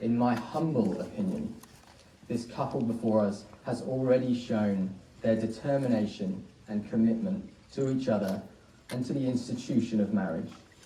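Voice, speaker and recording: Audible room echo surrounds a man speaking at a moderate pace with medium pitch and ordinary pitch variation. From England via Australia. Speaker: wedding celebrant. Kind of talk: wedding ceremony speech. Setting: wedding ceremony with guests, warm venue. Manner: formal.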